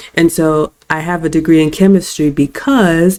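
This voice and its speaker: A woman's very deep, low pitch and dark, mellow tone in an American accent, with fairly even intonation. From US South, Athens, Georgia. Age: 40s. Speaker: content creator. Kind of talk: interview. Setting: podcast interview.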